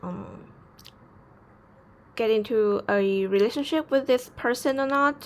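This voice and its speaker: A woman with a non-native accent, fairly high-pitched, with ordinary pitch variation. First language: not English. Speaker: tarot reader. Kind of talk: tarot reading to camera. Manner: calm, soothing.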